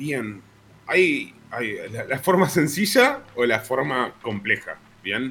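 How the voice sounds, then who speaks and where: Very slowly and with long, frequent pauses, a man speaks in a fairly high voice with lively intonation. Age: 30s. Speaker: psychologist. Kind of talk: casual chat.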